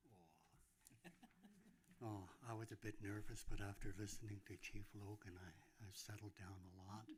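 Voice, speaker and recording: A man talks with fairly low pitch and fairly even intonation. His voice is somewhat breathy, with long, frequent pauses. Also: moderate pace. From northern British Columbia, Canada. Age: 70s. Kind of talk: speech at public event. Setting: grand opening event with audience. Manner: hesitant.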